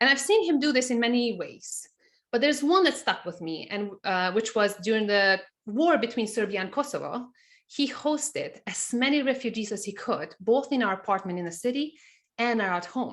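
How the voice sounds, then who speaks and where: A woman speaks with a Montenegrin accent. Her pitch is fairly high and her intonation lively. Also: moderate pace. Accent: Montenegrin accent, noticeable. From Montenegro. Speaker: CFO and business teacher. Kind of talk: webinar presentation.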